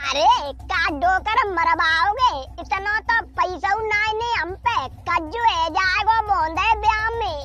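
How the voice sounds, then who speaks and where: Extremely high in pitch, a cartoonish character voice speaks at a very slow pace over clear background noise. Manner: loud, argumentative.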